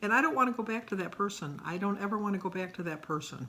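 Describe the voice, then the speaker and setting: Bright, sharp tones from a woman, with ordinary pitch variation. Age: 60s. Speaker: weight-loss vlogger. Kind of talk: personal vlog monologue. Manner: hesitant, frequent fillers.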